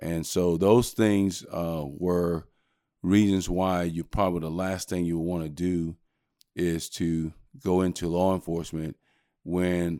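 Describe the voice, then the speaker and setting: A man with an American accent talks at a fairly slow pace in a very deep, low pitch and a monotone, flat intonation. The recording is very clean, with a silent background. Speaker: sheriff candidate, former police chief. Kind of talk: interview.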